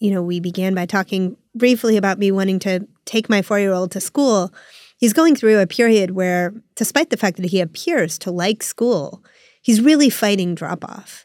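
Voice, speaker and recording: On a very clean recording with a silent background, a woman speaks at a moderate pace and medium pitch. The sound is dry and close with no echo, and her pitch variation is ordinary. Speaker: podcast host. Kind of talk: podcast interview. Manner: animated.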